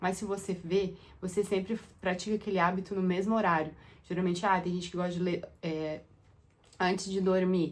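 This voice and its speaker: A woman speaks at a moderate pace in a medium pitch, her intonation monotone and flat, with long, frequent pauses. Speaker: makeup artist and content creator. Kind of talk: casual vlog talk to camera.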